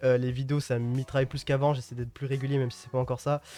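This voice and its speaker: Over music in the background, a man with a Parisian accent talks at a very fast pace in a flat monotone at a medium pitch. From Île-de-France, Yvelines (Mantes-la-Jolie). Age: 20s. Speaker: youtuber. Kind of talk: casual Q&A monologue to viewers. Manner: casual, hesitant with fillers.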